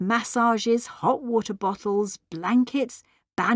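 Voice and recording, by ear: Someone reads aloud naturally while the background stays quiet.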